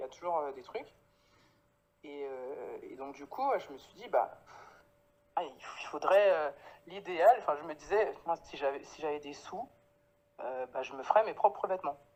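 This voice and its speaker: A woman talks at a moderate pace in a fairly low pitch, with long, frequent pauses. Her voice shows very wide pitch swings and big swings in loudness. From Paris, France (Guadeloupean family). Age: 30s. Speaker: clothing brand founder. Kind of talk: interview. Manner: hesitant, many fillers.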